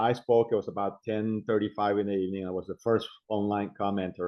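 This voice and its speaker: A man with a non-native accent and fairly low pitch talks at a fairly quick pace. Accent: foreign. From immigrant, abroad. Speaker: city council candidate. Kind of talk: interview.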